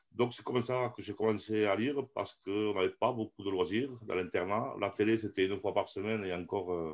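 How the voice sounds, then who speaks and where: A man's fairly low voice at a fairly quick pace, hardly any pauses. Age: 50s. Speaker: amateur theatre actor. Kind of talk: interview. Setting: live stream. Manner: animated.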